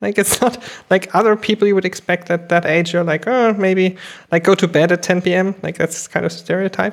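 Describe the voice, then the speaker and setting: At a moderate pace, a woman speaks in an unremarkable speaking voice at medium pitch. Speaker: podcast host. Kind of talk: casual interview chat.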